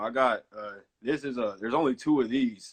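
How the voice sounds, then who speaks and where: A man with a Southern US accent, at a fairly quick pace. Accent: Southern US (Georgia). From Georgia, US South (Columbus, then Atlanta). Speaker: music producer and radio host. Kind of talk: casual chat.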